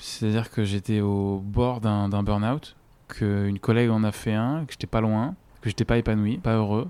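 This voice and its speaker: A man's fairly low, dark, mellow voice at a moderate pace with fairly even intonation. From French mountain region. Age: 20s. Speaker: freelancer with an eye disease. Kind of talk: personal testimony interview.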